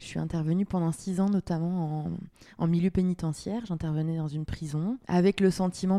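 A woman with a fairly low pitch and a dark, mellow tone speaks in a fairly even intonation, recorded very cleanly against a silent background with a dry, close sound and no echo. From France, Le Mans. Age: 30s. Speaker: local politician. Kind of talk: interview.

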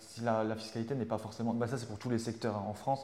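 A man is talking at medium pitch. His pace is very fast. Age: 30s. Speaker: civil servant working on esports projects. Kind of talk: interview. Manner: halting.

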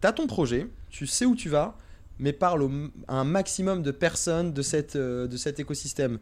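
A man speaks at a moderate pace in a fairly high pitch, his intonation lively. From Paris region, France (teen years in Algiers). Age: 20s. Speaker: startup investment manager. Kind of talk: casual interview. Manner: hesitant, many repetitions and fillers.

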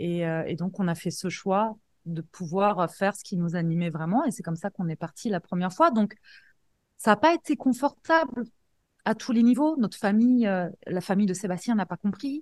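With an unremarkable speaking voice, a woman speaks at medium pitch and a moderate pace with lively intonation, the sound dry and close with no echo. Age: 40s. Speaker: life coach and entrepreneur. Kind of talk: interview.

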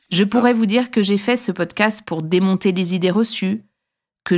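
A woman speaks in a plain, everyday voice at a medium pitch, with ordinary pitch variation. The recording is very clean, with a silent background. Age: 40s. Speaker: pharmacist and podcast host. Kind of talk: scripted narration.

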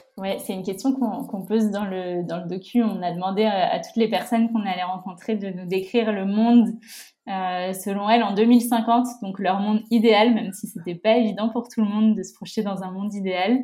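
A woman talks at a fairly quick pace and medium pitch, somewhat breathy, with fairly even intonation. Her loudness swings widely. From France, La Rochelle. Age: 20s. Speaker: environmental association co-founder. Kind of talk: casual interview. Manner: hesitant, frequent repetitions.

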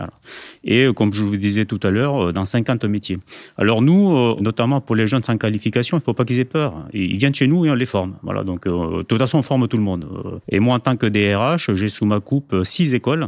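In a dry, close sound with no echo and a quiet background, a man with an unremarkable speaking voice and medium pitch talks at a moderate pace. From Spain, moved to France at age 7. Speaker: air force general, head of HR. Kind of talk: interview.

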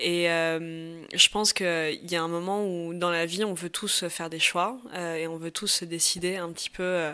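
Very slow, monotone, flat speech from a woman with a fairly low pitch and a bright, sharp tone, on a very clean recording with a silent background. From Paris, France. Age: 20s. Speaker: interviewee sharing personal story. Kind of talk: personal testimony. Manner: hesitant, many fillers.

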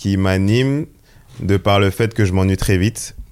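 An unremarkable speaking voice moves at a fairly slow pace in a very clean recording with a silent background. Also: man. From Seine-et-Marne, France. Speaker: photographer. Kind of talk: casual interview.

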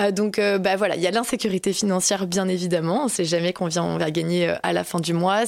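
Here a woman with an unremarkable speaking voice talks at a moderate pace and medium pitch, her intonation fairly even. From Alsace, France. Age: 20s. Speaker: content creator. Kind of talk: interview.

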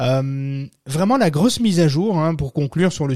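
A man is speaking. His tone is dark and mellow, with ordinary pitch variation. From French-speaking country other than France. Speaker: podcast host on SEO. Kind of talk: casual talk show. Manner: hesitant, many fillers.

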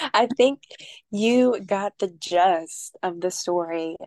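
At a very slow pace, a woman talks at a medium pitch, the sound dry and close with no echo. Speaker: podcast co-host, Vedic astrology student. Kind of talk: casual podcast chat.

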